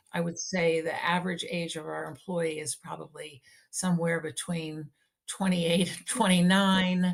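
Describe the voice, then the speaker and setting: The speaker has an American accent and a somewhat breathy voice at a moderate pace. Intonation stays monotone and flat while loudness swings widely. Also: woman, fairly low pitch for a woman. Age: 60s. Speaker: nonprofit executive. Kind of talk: interview podcast.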